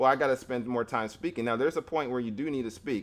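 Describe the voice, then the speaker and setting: This man's voice has ordinary pitch variation. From US, Florida. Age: 30s. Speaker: language learning youtuber. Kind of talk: live stream Q&A. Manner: halting, many restarts.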